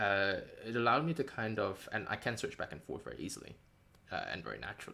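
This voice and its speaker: Vocal fry runs through a man's medium-pitched voice as he talks at a very fast pace with ordinary pitch variation. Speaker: game writer and designer streaming a devlog. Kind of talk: casual live-stream chat. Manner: halting, many fillers.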